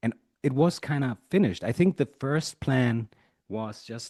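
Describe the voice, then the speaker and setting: A man with a German accent has a dark, mellow tone, recorded dry and close with no echo over a quiet background. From Germany. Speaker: musician and producer. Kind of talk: interview. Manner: halting.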